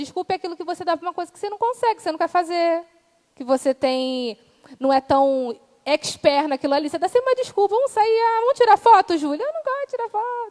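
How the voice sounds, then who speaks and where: A woman speaks at a very fast pace in an animated tone, her extremely high pitch swinging very widely and her loudness shifting in big swings, with a dry, close sound and no echo. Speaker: preacher. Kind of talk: sermon.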